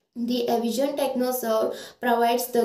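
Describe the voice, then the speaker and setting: In a Karnataka accent, a woman speaks at a fairly high pitch with monotone, flat intonation. Room echo is audible. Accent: Indian English (Kannada region). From India, Karnataka (Shivamogga). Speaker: internship trainee. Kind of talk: testimonial; testimonial statement. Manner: slightly halting with fillers. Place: home room. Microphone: phone near.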